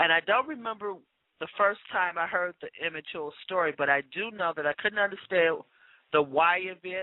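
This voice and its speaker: A woman uses a normal speaking voice, moving at a moderate pace with ordinary pitch variation. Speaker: radio talk show co-host. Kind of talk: radio show monologue. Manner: formal.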